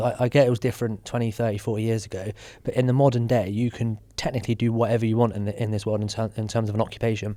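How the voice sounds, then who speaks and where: Talking at a very fast pace, a man with a British accent has a dark, mellow tone and medium pitch in a very clean recording with a silent background. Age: 30s. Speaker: podcast host. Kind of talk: casual chat.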